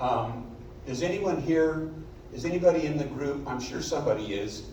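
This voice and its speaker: Through audible room echo and noticeable background noise, a man with a fairly high pitch speaks at a moderate pace with lively intonation. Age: 70s. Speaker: amateur double bass player in community music group. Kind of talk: self-introduction at a concert.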